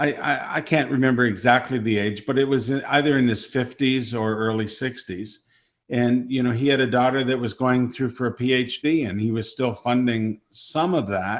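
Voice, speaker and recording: A man with a plain, everyday voice speaks at a medium pitch with fairly even intonation and hardly any pauses. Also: moderate pace. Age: 60s. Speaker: webinar host. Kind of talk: webinar discussion. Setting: online webinar.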